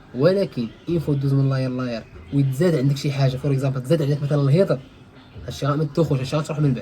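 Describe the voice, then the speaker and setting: The speaker is a man with a fairly high pitch. He rushes along at a very fast pace, his intonation fairly even. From Morocco. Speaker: IT instructor. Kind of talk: casual tech tutorial.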